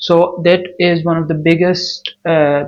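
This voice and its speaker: A man speaks with a non-native accent at a fairly high pitch. His intonation stays flat and monotone. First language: not English. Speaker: new YouTuber. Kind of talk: vlog monologue. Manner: non-native, some hesitation.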